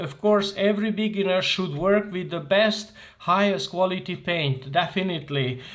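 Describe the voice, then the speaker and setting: With a Hungarian accent, a man speaks at a moderate pace in a high pitch, with ordinary pitch variation. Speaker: art tutor. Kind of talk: tutorial. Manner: halting.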